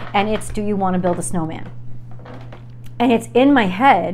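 A woman speaks while light background noise is present. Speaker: tarot reader. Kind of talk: tarot reading monologue. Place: home room. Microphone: lapel.

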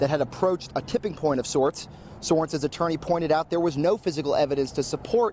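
In a dry sound with no echo and light background noise, the man races along at a very fast pace, his pitch varying in an ordinary way. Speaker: TV news reporter. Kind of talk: live news report. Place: street. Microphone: handheld.

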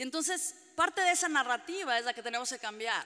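Against a quiet background, a woman speaks with lively intonation in a passionate, animated tone that is bright and sharp. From Mexican-American (US-raised Mexican). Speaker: trade union organizer; panelist. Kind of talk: panel debate talk. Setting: public panel with audience. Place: hall. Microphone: podium.

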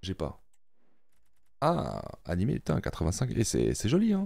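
A man, dry sound with no echo. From Switzerland (French-speaking, Neuchâtel); Switzerland. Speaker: gaming YouTuber. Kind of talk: casual gameplay commentary. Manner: animated, excited exclamations. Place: home room. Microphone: studio mic.

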